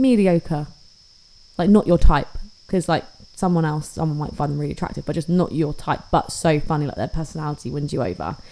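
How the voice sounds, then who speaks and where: A woman with a British accent and a very deep, low pitch speaks in a dark, mellow tone at a fairly quick pace with ordinary pitch variation. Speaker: podcast co-host. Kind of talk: casual chat.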